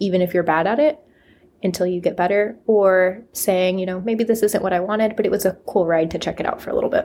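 Mid-pitched female speech with mostly level intonation. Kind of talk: casual chat. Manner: mellow.

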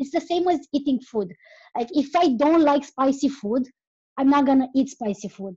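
A woman talks in a Romanian accent. Her voice is high, with lively intonation. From Romania (Transylvania). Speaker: podcaster, travel guest. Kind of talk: casual chat. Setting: online call.

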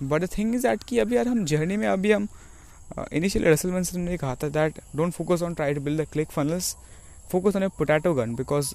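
Lively intonation shapes the speech. The pace is moderate. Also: man. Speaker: aspiring online entrepreneur vlogger. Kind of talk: personal vlog monologue. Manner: halting.

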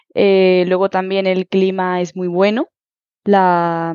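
A woman speaks at a very slow pace and a medium pitch. Her intonation stays monotone and flat. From Huelva, Andalusia, Spain. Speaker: Spanish teacher. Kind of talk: interview.

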